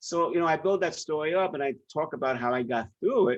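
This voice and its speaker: A man talks in a New York accent at a fairly high pitch. His intonation is lively and his pace fairly quick. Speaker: professional speaker.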